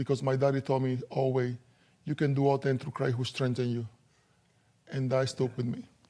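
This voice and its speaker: A dark, mellow tone with a Dominican accent, on a very clean recording with a silent background. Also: man. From Dominican Republic. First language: Spanish. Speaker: former professional basketball player. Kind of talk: interview testimony.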